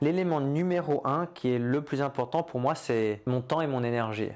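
A man talks at a moderate pace in a fairly high voice. His pitch varies in an ordinary way. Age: 30s. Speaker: entrepreneur and online business coach; online business coach. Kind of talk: vlog-style monologue answering a question. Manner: hesitant with fillers and repetitions. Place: office.

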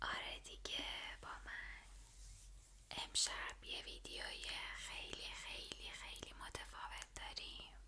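The voice is a whisper with a soothing tone. It moves at a very slow pace. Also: woman. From Iran. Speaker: ASMR creator. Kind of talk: ASMR whispered book reading to camera. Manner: soft-spoken, soothing, friendly. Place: home room. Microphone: studio mic.

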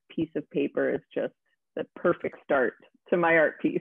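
An ordinary speaking voice from a woman with a Canadian accent, fairly low in pitch, at a moderate pace, in a dry sound with no echo and a quiet background. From Ontario, Canada (Aurora, north of Toronto); Ontario. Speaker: visual artist and special effects makeup artist; guest. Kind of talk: casual interview. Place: home room.

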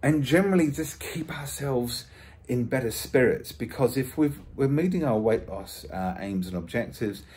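Somewhat breathy, a man with a British accent talks at a moderate pace with lively intonation. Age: 50s. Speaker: vlogger. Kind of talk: casual vlog. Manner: halting. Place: home room. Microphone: phone near.

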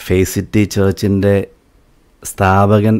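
A man speaks with a very deep, low pitch. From Kerala, Aluva; Kerala. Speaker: church bass guitarist; guest. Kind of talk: testimony. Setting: live video broadcast. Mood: earnest, reflective. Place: studio. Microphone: studio mic.

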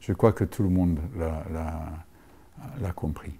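In a dark, mellow tone, a man speaks at a very slow pace. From Rhodesia and South Africa. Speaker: film school teacher. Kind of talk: interview. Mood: calm, reflective. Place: stage.

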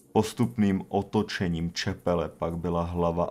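A dramatic tone at a fairly slow pace, with fairly even intonation. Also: man. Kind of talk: scripted horror narration. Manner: slow, grave, hushed storytelling with dramatic pauses; formal, ominous tone.

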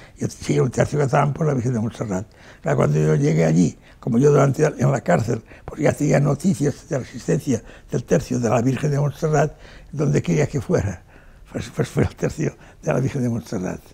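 A man speaks at a moderate pace with a dark, mellow tone and some vocal fry. His pitch swings very widely. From Spain, Barcelona; Catalonia, Spain. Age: 80s+. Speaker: war veteran. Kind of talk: interview testimony. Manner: halting, frequent repetitions. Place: home room.

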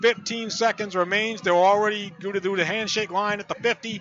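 Over noticeable background noise, a man with a high pitch speaks in a monotone, flat intonation, the sound dry with no echo. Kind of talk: live sports commentary. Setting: high school football game broadcast, radio highlights. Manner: clipped, matter-of-fact calls between plays.

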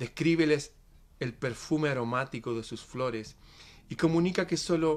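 In a dramatic tone, a man with a fairly high pitch speaks at a fairly slow pace with ordinary pitch variation. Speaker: poet reading aloud. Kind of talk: poetic reading aloud, solemn and dreamlike, in a devotional tone; casual greeting and commentary to viewers. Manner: slow, measured and dramatic, with a rhythmic, hushed, reverent delivery. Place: studio. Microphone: webcam.

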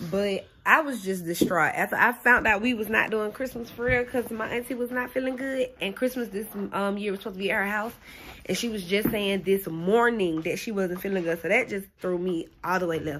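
There is light background noise. A woman talks at a fairly quick pace. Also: ordinary pitch variation. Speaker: vlogger. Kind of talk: casual vlog chat. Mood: animated, venting disappointment. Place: home room. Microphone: phone near.

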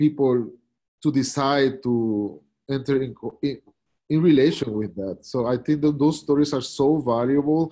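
Very slowly, a man speaks in a dark, mellow tone with ordinary pitch variation. The background is quiet. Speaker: pastor and youth detention care worker; pastor. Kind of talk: reflective talk. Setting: video call. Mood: earnest, heartfelt. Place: home room. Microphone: video call.

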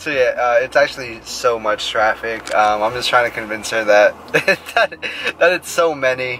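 At a moderate pace, a man speaks with ordinary pitch variation in a dry sound with no echo, over light background noise. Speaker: vlogger. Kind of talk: casual chat. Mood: cheerful, laughing. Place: car. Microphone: phone near.

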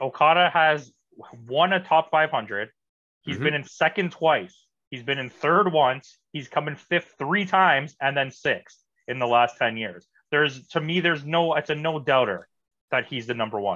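Against a quiet background, a man with a fairly high pitch and lively intonation speaks at a moderate pace, taking long, frequent pauses. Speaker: wrestling podcast panelist; podcast panelist. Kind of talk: casual chat. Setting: video call. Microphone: video call.

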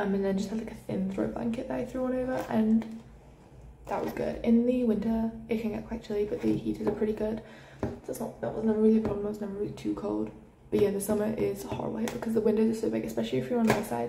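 This woman speaks at a very fast pace, and there is noticeable background noise. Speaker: university student. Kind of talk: casual room tour vlog. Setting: indoors in a student room. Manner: rambling, chatty. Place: home room. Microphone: phone near.

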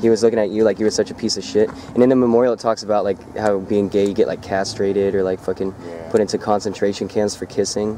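A man rattles along at a very fast pace with monotone, flat intonation and hardly any pauses, the sound dry with no echo and light background noise. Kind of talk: casual vlog chat. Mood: joking, indignant. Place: street. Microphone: phone near.

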